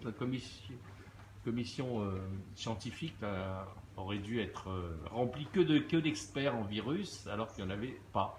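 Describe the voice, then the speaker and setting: Fairly low male speech with ordinary rises and falls in pitch. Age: 60s. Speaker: social media commentator. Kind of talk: live stream monologue. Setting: outdoors at a beach. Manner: hesitant, many fillers.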